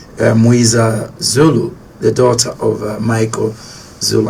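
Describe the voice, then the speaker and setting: Amid noticeable background noise, a man talks at a medium pitch with fairly even intonation. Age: 60s. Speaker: radio host. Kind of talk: radio interview.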